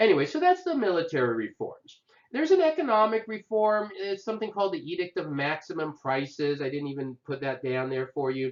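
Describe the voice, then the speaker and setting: A man's high pitch with very wide pitch swings, at a fairly quick pace with hardly any pauses. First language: not English. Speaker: history instructor. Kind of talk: lecture. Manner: casual, conversational with fillers.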